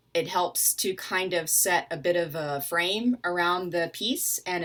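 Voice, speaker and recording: In a Southern US accent, a woman speaks at a very slow pace with a fairly low pitch and a bright, sharp tone. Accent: Southern US (Georgia). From US South, Atlanta, Georgia. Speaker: literature scholar. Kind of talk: educational talk. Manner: casual, with fillers.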